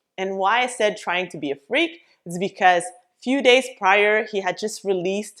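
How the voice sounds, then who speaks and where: A woman at medium pitch with lively intonation and a moderate pace, on a very clean recording with a silent background. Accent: French Canadian. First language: French. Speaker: business coach. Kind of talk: vlog tutorial.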